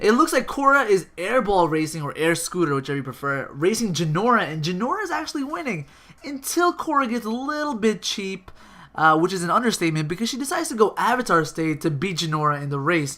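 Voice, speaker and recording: The speech moves at a very fast pace over noticeable background noise. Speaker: YouTuber giving show news. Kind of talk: casual video commentary. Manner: casual with many fillers.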